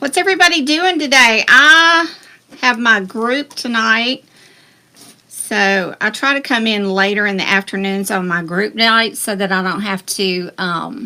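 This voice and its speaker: Speaking fairly slowly with a Southern US accent, a woman uses a fairly high, bright and sharp voice with very wide pitch swings. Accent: Southern US accent, near Texas. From US South. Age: 60s. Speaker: craft tutorial host. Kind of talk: live-stream craft tutorial. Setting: live stream. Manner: casual, chatty.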